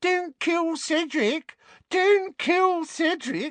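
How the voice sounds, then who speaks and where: Against a quiet background, a put-on character voice at an extremely high pitch moves at a very slow pace. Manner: mocking.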